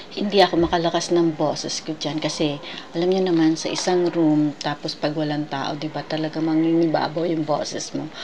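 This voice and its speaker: Over noticeable background noise, a woman speaks at a fairly quick pace in a very deep, low pitch with monotone, flat intonation. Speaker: travel vlogger. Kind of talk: casual museum tour narration. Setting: indoor museum room.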